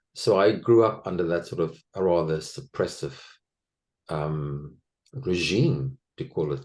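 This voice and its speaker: With a South African accent, a man speaks slowly-ish in a very deep, low pitch, showing vocal fry and lively intonation. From South Africa, Afrikaner household. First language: Afrikaans. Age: 60s. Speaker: former actor, interviewee on abuse recovery. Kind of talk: personal testimony interview.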